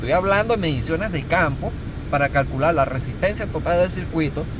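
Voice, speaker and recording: Amid noticeable background noise and audible room echo, a man talks at a fairly quick pace in an animated tone. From Venezuela. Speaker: corrosion engineer, instructor. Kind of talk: tutorial.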